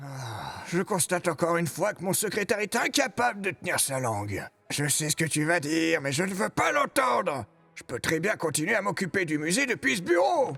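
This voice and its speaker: A man speaks in a put-on character voice, pitched high for a man. His pace is moderate, with faint music in the background. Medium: dub. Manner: brusque, headstrong.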